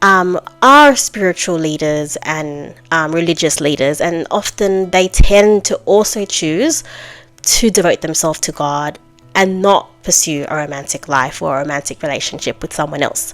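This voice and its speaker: A woman speaks at a moderate pace in a fairly low voice, with ordinary rises and falls in pitch. Music plays in the background. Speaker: podcast host. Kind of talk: casual monologue podcast. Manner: halting, stumbling.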